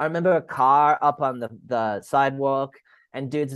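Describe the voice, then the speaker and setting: Against a quiet background, a man with an American accent and an ordinary speaking voice talks at a fairly high pitch with fairly even intonation. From Sydney, Australia and Rochester, US. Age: 30s. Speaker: former hardcore band musician. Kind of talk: casual chat. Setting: remote call from Australia.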